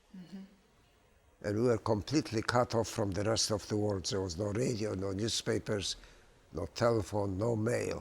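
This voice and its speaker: A man speaks with a fairly low pitch at a moderate pace. His voice is somewhat breathy. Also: ordinary pitch variation. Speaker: Holocaust survivor, retired dentist, genocide prevention speaker. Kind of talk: interview answer.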